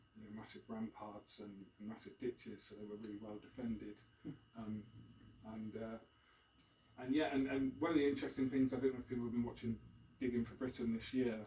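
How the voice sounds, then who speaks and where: A dark, mellow, somewhat breathy tone with ordinary pitch variation, long, frequent pauses and big swings in loudness. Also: man, medium pitch for a man, fairly quick pace. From Devon, South West England (Plymouth). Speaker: author and former journalist giving a history talk. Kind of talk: public talk. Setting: live event with audience. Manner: hesitant, many fillers.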